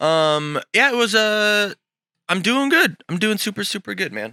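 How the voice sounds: A raspy man's voice at a high pitch, bright, sharp tone, big pitch swings and a fairly slow pace. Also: dry, close sound with no echo.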